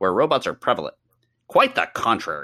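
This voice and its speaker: A man puts on a character voice. He talks at a fairly quick pace. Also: very clean recording, silent background. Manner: nerdy voice.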